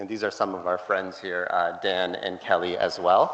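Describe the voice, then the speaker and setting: A man is speaking amid audible room echo. There is noticeable background noise. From Canada (Toronto). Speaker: conference speaker. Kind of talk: conference talk.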